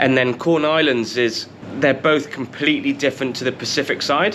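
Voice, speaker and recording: The voice moves at a moderate pace in a British accent, with ordinary pitch variation. Noticeable background noise is present. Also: man. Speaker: travel vlogger. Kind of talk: casual travel talk to camera. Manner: casual, conversational.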